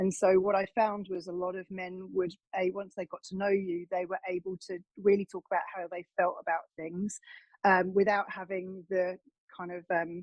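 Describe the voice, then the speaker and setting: A woman with an English accent talks at a moderate pace and medium pitch. Her intonation is flat and monotone, yet her loudness shifts a great deal. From England. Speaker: wellness coach. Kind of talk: interview. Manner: hesitant, with frequent fillers.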